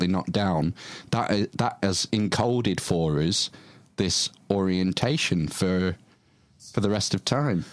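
A fairly low-pitched man with a British accent, at a fairly slow pace with ordinary pitch variation. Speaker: podcast host. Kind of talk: casual interview chat.

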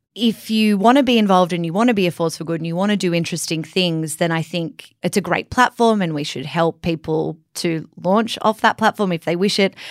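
With an Australian accent and a fairly low pitch, a woman speaks at a fairly quick pace with hardly any pauses, in a dry, close sound with no echo. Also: ordinary pitch variation. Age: 20s. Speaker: podcast co-host. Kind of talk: casual chat.

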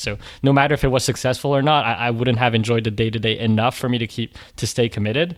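Speaking at a very fast pace, this man has a medium pitch. His intonation stays fairly even. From raised internationally, born in France. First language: French. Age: 20s. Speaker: online content creator. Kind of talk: interview.

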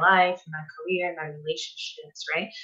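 With a Portuguese accent, a woman speaks in a fairly low voice with fairly even intonation. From Brazil. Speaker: nutritionist. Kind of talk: interview.

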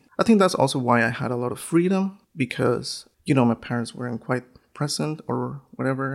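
Someone with a Spanish accent speaks at a fairly quick pace. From northern Mexico. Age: 30s. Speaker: photographer and educator. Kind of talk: interview.

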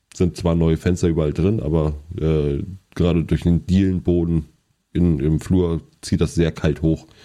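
Speaking at a fairly slow pace, a man has a very deep, low voice with a dark, mellow tone. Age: 30s. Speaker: podcast co-host. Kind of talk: casual chat.

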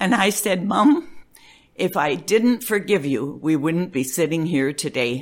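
At a fairly slow pace, a woman speaks at a fairly low pitch with very wide pitch swings. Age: 80s. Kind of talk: casual interview, telling life stories.

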